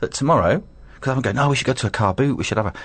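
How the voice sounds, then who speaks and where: A man speaks at a very fast pace with vocal fry. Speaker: radio host. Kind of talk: casual chat. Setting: studio.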